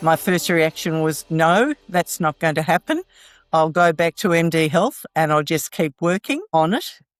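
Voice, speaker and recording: A woman's fairly low voice with fairly even intonation, set against background music. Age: 70s. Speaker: physiotherapy client, hip replacement patient. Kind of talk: interview answer.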